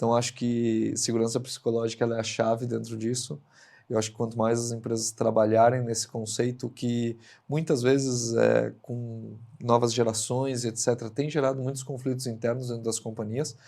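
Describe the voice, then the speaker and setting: Medium-pitched man with a dark, mellow tone, monotone, flat intonation and a moderate pace, on a very clean recording with a silent background. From Rio Grande do Sul, southern Brazil. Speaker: industrial director, engineer. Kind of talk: interview podcast conversation. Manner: hesitant, many fillers.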